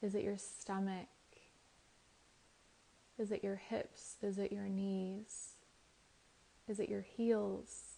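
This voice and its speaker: A woman talks at a very slow pace in a soothing tone. Her medium-pitched voice has a dark, mellow tone. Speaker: Reiki master teacher and meditation guide. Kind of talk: calm guided meditation. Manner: slow, soothing, with pauses.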